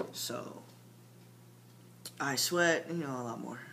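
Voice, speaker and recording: A man speaking very slowly in a bright, sharp tone, with audible room echo. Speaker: transgender vlogger giving transition update. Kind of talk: casual video diary. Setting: at home late at night. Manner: halting, many fillers.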